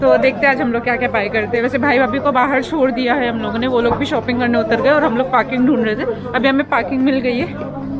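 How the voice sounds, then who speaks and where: A woman talking with hardly any pauses over crowd noise in the background. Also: fairly quick pace. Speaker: travel vlogger. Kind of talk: casual vlog chat. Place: market. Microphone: phone near.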